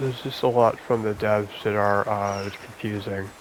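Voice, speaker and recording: Noticeable background noise sits behind a man whose pitch is fairly low. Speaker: gaming ASMR creator. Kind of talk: casual gameplay commentary. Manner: halting, many fillers and repeats.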